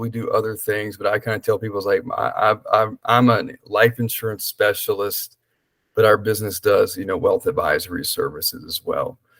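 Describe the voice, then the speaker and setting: Here a man speaks in a Southern US accent. He moves at a fairly quick pace. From US South, small-town South Carolina. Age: 30s. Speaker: life insurance specialist. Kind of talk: podcast interview. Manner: casual, with frequent fillers.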